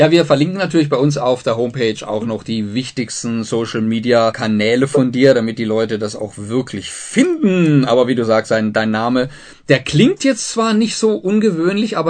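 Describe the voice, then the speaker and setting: With a plain, everyday voice, a man speaks at a medium pitch and moderate pace, using lively intonation and hardly any pauses. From southern Germany. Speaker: radio host. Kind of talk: radio interview.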